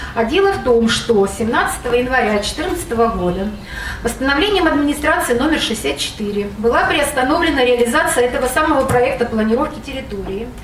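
The voice moves at a moderate pace with lively intonation, set against light background noise and audible room echo. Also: woman, high pitch for a woman. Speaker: local resident. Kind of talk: public hearing speech. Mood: critical, complaining. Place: hall.

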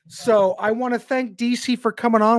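The recording of this man's voice is dry with no echo. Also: quiet background. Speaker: podcast host. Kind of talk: casual live-stream chat. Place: home room. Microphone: studio mic.

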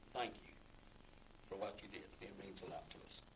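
This man speaks with a Southern US accent. His pace is moderate. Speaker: sheriff's office employee. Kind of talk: public comment at county meeting. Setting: county commission meeting room.

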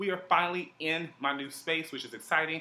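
This is a man talking. He keeps a moderate pace. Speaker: vlogger. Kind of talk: casual vlog chat. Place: home room.

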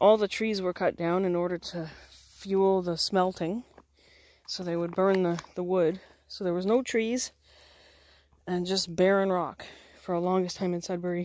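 At a moderate pace, a woman speaks in a flat monotone with long, frequent pauses, and the sound is dry with no echo. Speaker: camper vlogger. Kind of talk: casual vlog chat. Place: forest. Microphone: phone near.

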